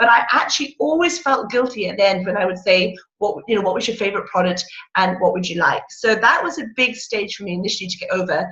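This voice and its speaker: A woman talks at a very fast pace with a medium pitch. Her tone is bright and sharp, and her intonation is lively. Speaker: direct sales consultant. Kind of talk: motivational talk on a video call. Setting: video call. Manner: loud and excitable.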